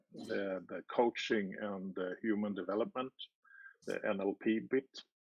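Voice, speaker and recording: A man with a fairly low voice speaks at a very slow pace with fairly even intonation, in a dry, close sound with no echo. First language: not English. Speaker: party candidate. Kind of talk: interview. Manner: halting.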